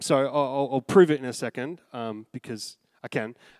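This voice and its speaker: Speaking at a moderate pace, a man with an Australian accent uses a fairly high pitch and ordinary pitch variation. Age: 30s. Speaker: pastor. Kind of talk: sermon. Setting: church.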